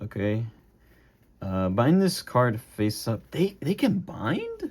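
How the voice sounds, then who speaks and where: A man talks at a very slow pace, his voice somewhat breathy and at a medium pitch. His pitch swings very widely. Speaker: gaming YouTuber. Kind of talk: unboxing commentary. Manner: casual, halting with fillers.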